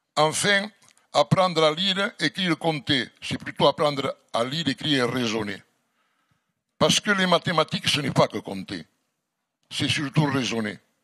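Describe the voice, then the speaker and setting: A man's fairly high voice with a strong Catalan French accent, a bright, sharp tone, vocal fry, lively intonation, and a fairly slow pace full of long, frequent pauses. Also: dry, close sound with no echo, quiet background. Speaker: mayor. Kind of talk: formal address at a public debate. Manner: formal.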